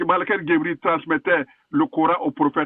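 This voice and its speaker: Speech moves along at a moderate pace. Its pitch rises and falls very widely. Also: man. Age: 60s. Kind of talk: heated debate. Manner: animated.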